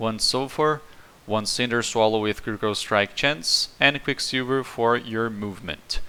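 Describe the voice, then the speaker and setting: This man, with a Portuguese accent, has a medium pitch, ordinary pitch variation and a bright, sharp tone. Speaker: video game streamer. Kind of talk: gameplay build guide.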